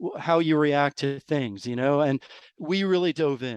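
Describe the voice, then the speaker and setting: Against a quiet background, a plain, everyday voice moves at a moderate pace with ordinary pitch variation in a dry, close sound with no echo. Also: man. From New York. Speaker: rare disease parent. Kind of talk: interview.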